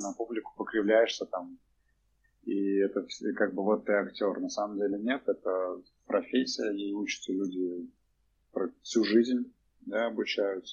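At a moderate pace, a man with a fairly low pitch speaks in fairly even intonation. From Russia, Cheboksary (Chuvashia). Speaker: theatre director and co-founder. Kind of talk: casual interview. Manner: hesitant, many fillers.

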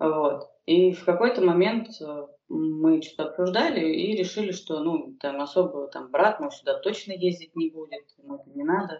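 A woman with a plain, everyday voice at medium pitch speaks at a moderate pace, her intonation lively and her loudness swinging widely. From Moscow, Russia. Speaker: stand-up comedian and fitness trainer. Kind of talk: casual interview chat.

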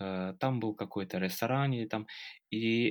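A man with an English accent speaks at a moderate pace in a fairly low pitch. His pitch varies in an ordinary way, and the recording is very clean with a silent background. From Britain. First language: English (speaking Russian). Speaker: interviewee, British learner of Russian. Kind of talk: casual interview chat. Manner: halting, with fillers and repetitions.

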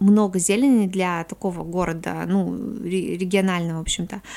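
Delivered at a moderate pace, this is a plain, everyday voice with fairly even intonation. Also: woman. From Komi Republic, Russia (Syktyvkar). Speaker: podcast guest. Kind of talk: casual chat.

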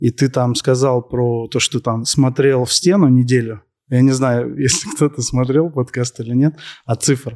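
A man's medium-pitched, dark, mellow voice at a fairly slow pace with fairly even intonation, in a dry, close sound with no echo. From Moscow, Russia. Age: 30s. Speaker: entrepreneur in waste sorting. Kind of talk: interview on stage before audience.

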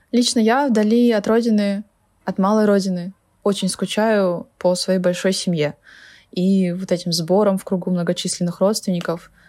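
This woman's voice has a medium pitch and a dark, mellow tone, moving at a moderate pace with fairly even intonation on a very clean recording with a silent background. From Kalmykia. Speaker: former Kalmykia resident living in Moscow. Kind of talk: personal reflection, recorded testimony.

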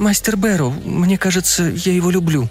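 Over clear music in the background, a man puts on a shaky, high-pitched character voice at a moderate pace. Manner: tender and hesitant.

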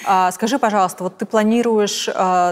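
A woman talks at a moderate pace with fairly even intonation. Noticeable background noise sits behind her. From Russia, Tomsk. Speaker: fashion journalist, podcast host. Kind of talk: interview.

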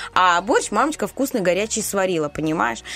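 A woman's pitch leaps very widely as she talks in an animated tone. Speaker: radio host. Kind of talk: casual banter on morning radio show. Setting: studio. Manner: animated, chatty.

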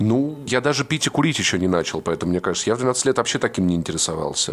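Very fast speech with lively intonation amid noticeable background noise. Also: man. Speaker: podcaster. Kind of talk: casual chat.

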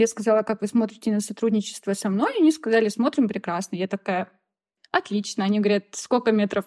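A woman's fairly high, dark and mellow voice at a very fast pace, with ordinary pitch variation, in a very clean recording with a silent background and a dry, close sound free of echo. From Russia, Voronezh region. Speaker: sewing blogger. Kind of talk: casual chat.

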